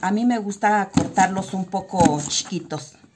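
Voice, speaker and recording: A woman speaks against loud background noise. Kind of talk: tutorial. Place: home room. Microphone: phone near.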